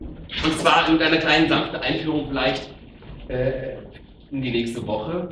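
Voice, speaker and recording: Noticeable background noise and audible room echo fill the recording. A man speaks with ordinary pitch variation. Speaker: presenter. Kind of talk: stage announcement. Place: hall. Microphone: camera far.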